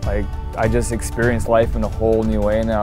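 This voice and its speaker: Over music in the background, a man with a fairly low voice races along at a very fast pace in monotone, flat intonation. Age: 20s. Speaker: person in addiction recovery. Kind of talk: documentary interview answer.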